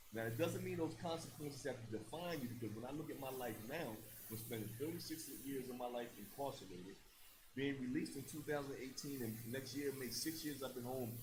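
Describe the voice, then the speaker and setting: The voice is somewhat breathy and moves at a fairly quick pace with ordinary pitch variation, set in audible room echo. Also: man. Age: 60s. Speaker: former prisoner turned youth mentor. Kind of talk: panel discussion. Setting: stage with audience.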